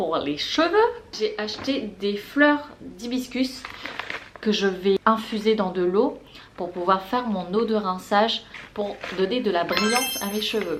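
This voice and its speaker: A woman speaks in an enthusiastic tone at a fairly high pitch. Audible room echo and noticeable background noise are present. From La Réunion. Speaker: beauty and lifestyle vlogger. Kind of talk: casual haul vlog. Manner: chatty, enthusiastic.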